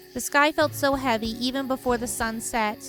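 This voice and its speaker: A woman with a fairly high-pitched voice talks over music playing in the background. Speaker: streamer reading game dialogue aloud. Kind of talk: live stream game dialogue reading with commentary.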